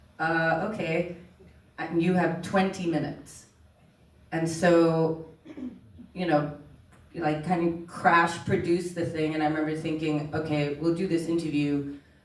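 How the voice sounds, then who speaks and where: Pausing long and often, a woman with a fairly low pitch speaks fairly slowly in a monotone, flat way, with noticeable background noise and audible room echo. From Oman (Indian, grew up in Middle East). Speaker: documentary filmmaker. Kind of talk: panel conversation.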